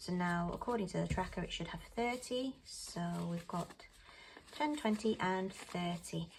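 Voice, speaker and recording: Soft-spoken and somewhat breathy, with a British accent, lively intonation and a fairly slow pace. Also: woman, medium pitch for a woman. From UK. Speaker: budgeting vlogger. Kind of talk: casual talk-through tutorial.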